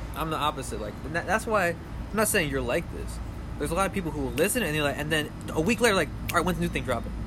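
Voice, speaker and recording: A man rushes along at a very fast pace with noticeable background noise around him. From New Orleans, Louisiana. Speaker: musician. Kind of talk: casual chat. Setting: outdoors, backyard.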